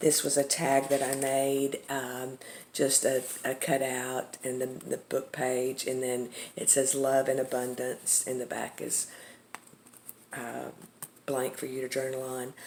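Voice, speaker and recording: In a Texas accent, a woman speaks with a very deep, low pitch and monotone, flat intonation. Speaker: craft seller, journal maker. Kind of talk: product show-and-tell tutorial. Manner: casual, with many fillers.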